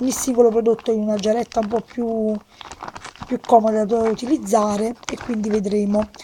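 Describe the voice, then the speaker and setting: Against light background noise, a woman speaks in a fairly high voice with flat, monotone intonation. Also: moderate pace. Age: young. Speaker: beauty vlogger. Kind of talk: casual product presentation to camera. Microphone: phone near.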